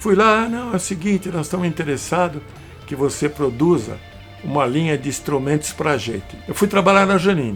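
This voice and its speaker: A man speaks at a fairly quick pace with lively intonation and a fairly high pitch, while music plays in the background. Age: 80s+. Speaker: electronics engineer, amplifier builder. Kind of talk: interview answer. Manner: casual, profane storytelling.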